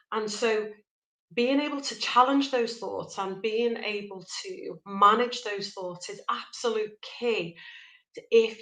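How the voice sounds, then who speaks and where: With a Liverpool accent, the speaker talks fairly slowly, the pitch varying in an ordinary way. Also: woman. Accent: Liverpool (Scouse). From Liverpool, northwest England. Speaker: life coach. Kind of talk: motivational talk. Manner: conversational, direct to camera.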